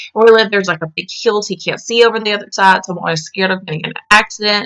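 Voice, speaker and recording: A woman speaks at medium pitch in a Southern US accent, her tone bright and sharp. Her intonation stays fairly even, and the sound is dry and close with no echo. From US South. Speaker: vlogger. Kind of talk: casual chat. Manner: halting.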